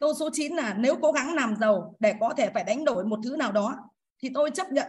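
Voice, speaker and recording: A woman with a high pitch and lively intonation. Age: 50s. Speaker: course participant. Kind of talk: personal testimony. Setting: video call. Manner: formal, polite.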